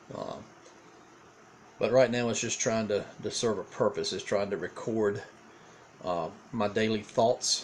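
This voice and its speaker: With a Southern US accent, a man at medium pitch speaks at a fairly slow pace, keeping his intonation fairly even and leaving long, frequent pauses. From eastern North Carolina. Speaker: pastor. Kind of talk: casual video diary monologue. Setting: home recording on a tablet. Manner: hesitant, many fillers and repeats.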